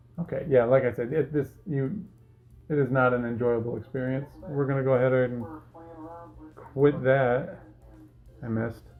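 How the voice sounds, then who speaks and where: Over music in the background, a man of medium pitch speaks at a moderate pace with long, frequent pauses and ordinary pitch variation. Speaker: tech YouTuber. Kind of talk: casual tutorial commentary. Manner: halting, many fillers.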